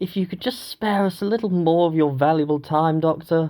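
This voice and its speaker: This is a put-on character voice, strained and pitched in the middle range. It moves at a fairly quick pace. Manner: strained, mild.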